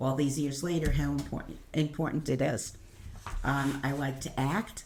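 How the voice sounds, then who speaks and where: A woman's very deep, low voice with a Brooklyn accent, fairly slow and fairly even in intonation, amid audible room echo and noticeable background noise. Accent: Brooklyn New York. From Brooklyn, New York. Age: old. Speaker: senior learner. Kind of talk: casual chat.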